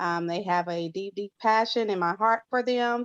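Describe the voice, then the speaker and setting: Against a quiet background, the speaker talks at a moderate pace with ordinary pitch variation, in a dry, close sound with no echo. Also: woman. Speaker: youth worker and volunteer. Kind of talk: panel discussion.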